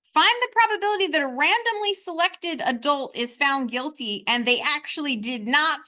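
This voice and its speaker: A woman's raised, projected voice, high in pitch and bright and sharp in tone, with very wide pitch swings, a moderate pace and hardly any pauses. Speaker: statistics teacher. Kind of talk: lecture.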